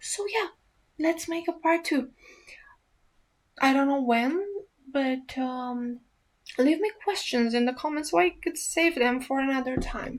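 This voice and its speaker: In a very clean recording with a silent background, a woman with an Eastern European accent speaks at a high pitch and a fairly slow pace with lively intonation. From Romania. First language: Romanian. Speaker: ASMR youtuber. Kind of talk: casual Q&A chat. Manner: hesitant, many fillers.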